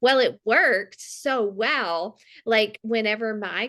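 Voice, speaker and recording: A woman with a Mississippi accent speaks over a quiet background. Her fairly high voice has a bright, sharp tone. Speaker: fitness coach. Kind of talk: testimony. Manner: halting.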